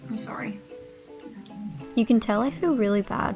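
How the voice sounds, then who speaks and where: Music plays in the background as a woman mumbles. Her pitch is fairly high and her pace fairly slow. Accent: Australian. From Australia. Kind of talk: casual sewing vlog talk to camera. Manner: mumbling.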